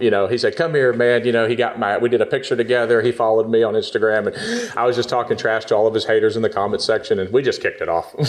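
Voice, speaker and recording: With noticeable background noise, a man in an American accent speaks at a very fast pace. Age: 30s. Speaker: jiu-jitsu blue belt and social media personality. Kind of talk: casual podcast interview.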